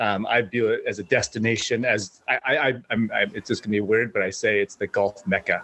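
Recorded dry and close with no echo, a man speaks at a fairly quick pace with hardly any pauses. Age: 50s. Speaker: golfer. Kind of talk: casual chat.

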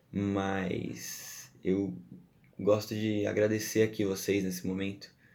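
A man's fairly low, dark and mellow voice with fairly even intonation and audible room echo. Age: 20s. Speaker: podcast host. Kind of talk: solo podcast monologue. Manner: casual, chatty.

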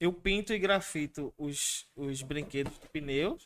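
A man with a Pernambuco accent, fairly high in pitch, at a fairly slow pace with ordinary pitch variation, on a very clean recording with a silent background. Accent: Pernambuco Brazilian Portuguese. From Recife, Pernambuco, Brazil. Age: 30s. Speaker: tattoo artist and illustrator. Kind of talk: interview. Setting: live-streamed podcast studio.

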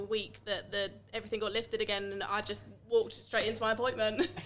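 A woman speaks at a medium pitch with a bright, sharp tone. Vocal fry runs through her voice. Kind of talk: casual chat.

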